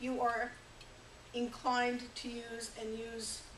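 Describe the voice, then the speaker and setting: Over noticeable background noise and audible room echo, a woman talks at a very slow pace in a fairly high pitch. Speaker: workshop facilitator. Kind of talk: workshop presentation.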